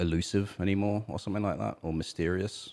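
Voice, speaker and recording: Recorded very cleanly against a silent background, a man with a British accent speaks in a very deep, low pitch. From Britain. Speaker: musician and podcast co-host. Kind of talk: casual chat.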